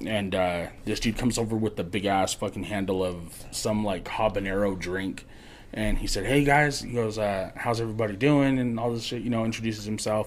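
A man with an American accent speaks at a fairly quick pace in a plain, everyday voice. His pitch is fairly low and his intonation fairly even. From Colorado (Morgan area). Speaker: podcast guest storyteller. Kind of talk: casual storytelling.

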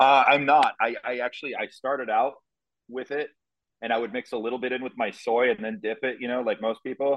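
In a plain, everyday voice, a man with an American accent speaks at a medium pitch. His pace is fairly quick and his intonation fairly even. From US Midwest, Nebraska. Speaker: bodybuilder and fitness coach. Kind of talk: casual interview chat.

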